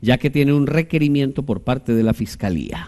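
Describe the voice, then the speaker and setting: A man with a dark, mellow tone talks at a fairly quick pace with lively intonation. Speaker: TV talk show host. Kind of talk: political talk show discussion. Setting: studio. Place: studio. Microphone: lapel.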